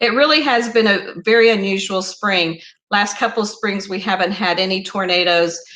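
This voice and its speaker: A woman with an Oklahoma accent has a bright, sharp tone, heard with audible room echo. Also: medium pitch for a woman, ordinary pitch variation, moderate pace. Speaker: YouTuber hosting a live stream. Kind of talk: casual live stream chat.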